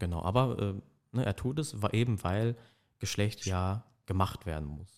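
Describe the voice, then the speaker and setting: On a very clean recording with a silent background, a man with a fairly low voice speaks fairly slowly with lively intonation and long, frequent pauses. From Germany, Ruhr area (Dortmund). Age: 20s. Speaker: history and German studies student. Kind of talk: casual academic chat. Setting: studio.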